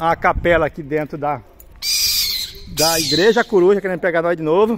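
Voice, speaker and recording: Over noticeable background noise, a man with a high voice talks at a moderate pace with ordinary pitch variation. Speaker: travel vlogger living in a motorhome. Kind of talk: travel vlog tour narration. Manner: casual with frequent hesitations.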